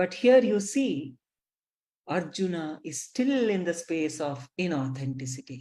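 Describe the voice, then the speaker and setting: A woman with a fairly low pitch and a dark, mellow tone makes very wide pitch swings. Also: fairly slow pace. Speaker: spiritual teacher. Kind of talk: lecture. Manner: slow.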